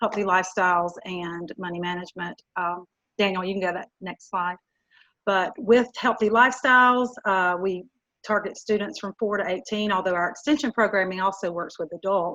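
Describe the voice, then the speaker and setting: Using a Southern US accent, a woman speaks with a bright, sharp tone at medium pitch, moderate pace, and ordinary pitch variation. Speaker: youth development educator. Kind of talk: webinar presentation. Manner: halting, many fillers.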